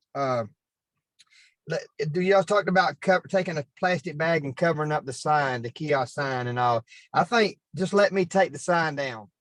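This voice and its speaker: This man has a Southern US accent and a fairly high pitch. The sound is dry and close with no echo, over a quiet background. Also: ordinary pitch variation. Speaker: city parks staff member. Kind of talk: public meeting discussion. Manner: fast.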